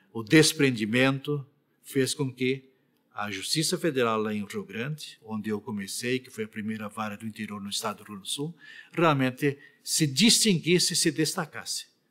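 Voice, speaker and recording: With an unremarkable speaking voice, a man talks at a moderate pace and medium pitch, his intonation lively and his loudness swinging widely. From Rio Grande do Sul, Brazil. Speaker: retired federal appellate judge. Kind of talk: oral history interview answer.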